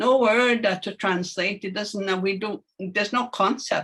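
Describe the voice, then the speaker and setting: With a Canadian accent and a bright, sharp tone, a woman speaks at a moderate pace. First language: Anishinaabemowin. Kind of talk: panel discussion. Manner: hesitant, many fillers.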